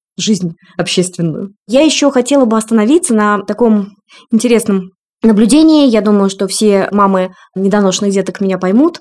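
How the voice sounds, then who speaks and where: In an ordinary speaking voice, a woman talks fairly quickly at medium pitch with ordinary pitch variation. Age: 40s. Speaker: breastfeeding consultant and mother. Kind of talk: personal testimony in podcast interview.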